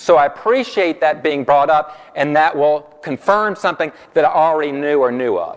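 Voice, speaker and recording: A man with a Southern US accent sounds animated, his pitch fairly high with ordinary variation, over noticeable background noise. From US South. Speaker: corporate trainer. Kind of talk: workshop presentation. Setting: room with live audience. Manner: fast.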